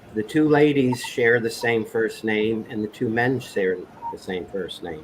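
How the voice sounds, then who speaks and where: The speech runs at a moderate pace with ordinary pitch variation. Noticeable background noise can be heard. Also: man. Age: 50s. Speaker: livestream panel participant. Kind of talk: casual chat.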